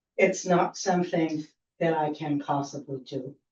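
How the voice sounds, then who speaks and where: Her voice is very deep and low for a woman, somewhat breathy, with fairly even intonation. She speaks at a fairly slow pace. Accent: American. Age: 70s. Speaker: public commenter. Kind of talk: public comment.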